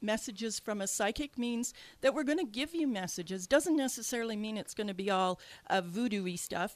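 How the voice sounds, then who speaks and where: On a very clean recording with a silent background, a woman speaks with a slight Canadian accent. Her fairly high voice moves at a fairly quick pace with lively intonation. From Canada. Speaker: radio host and psychic medium. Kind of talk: radio talk show. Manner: hesitant, many fillers.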